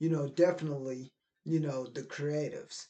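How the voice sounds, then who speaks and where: A man with an American accent speaks at a fairly high pitch in a dark, mellow tone. His intonation stays fairly even. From Middle Tennessee, US. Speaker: video creator, poet. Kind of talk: motivational monologue to camera.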